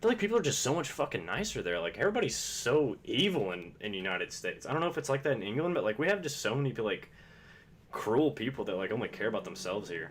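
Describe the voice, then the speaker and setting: Very wide pitch swings, vocal fry and a very fast pace. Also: man. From US South, Kentucky. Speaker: video game streamer. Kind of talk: casual gaming live-stream chat. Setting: live stream with face cam. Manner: casual, rambling with many fillers.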